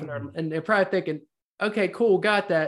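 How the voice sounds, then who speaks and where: A man talks at a fairly quick pace with lively intonation in an ordinary speaking voice. The background is quiet. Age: 50s. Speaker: podcast host. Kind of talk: casual interview.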